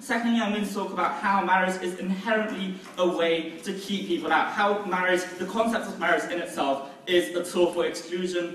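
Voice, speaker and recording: Moderate pace and ordinary pitch variation, with audible room echo and light background noise. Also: man. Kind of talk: competitive debate speech. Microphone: camera far.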